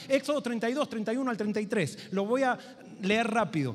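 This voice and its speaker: A man moves fairly quickly through his words, pitch varying normally, as noticeable background noise plays. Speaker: pastor. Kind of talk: sermon. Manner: fast.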